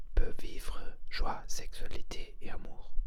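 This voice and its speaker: Noticeable background noise sits behind a man who whispers very slowly. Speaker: ASMR creator and energy healer. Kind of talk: ASMR whispered talk to camera. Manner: whispered, slow, hesitant.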